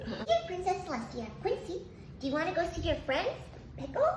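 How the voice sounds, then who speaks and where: A woman puts on a squeaky character voice at an extremely high pitch and a fairly quick pace. Clear background noise and a slight echo run behind her. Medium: solo performance. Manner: earnest, bright.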